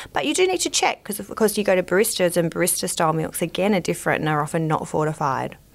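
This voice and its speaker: With an Australian accent, a woman talks at a very fast pace with hardly any pauses. Her pitch is fairly low, with ordinary variation. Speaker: dietitian. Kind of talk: interview. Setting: studio.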